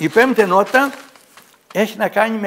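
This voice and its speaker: A man's extremely high-pitched voice at a moderate pace, with ordinary pitch variation against a quiet background. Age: 70s. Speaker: local author; guest. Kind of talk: TV interview. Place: studio. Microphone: lapel.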